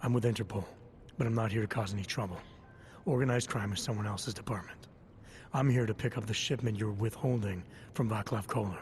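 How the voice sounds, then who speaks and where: A man puts on a character voice at medium pitch, raspy and deadpan, racing along very fast with fairly even intonation and long, frequent pauses over clear background noise. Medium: video game. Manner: low, terse, deadpan.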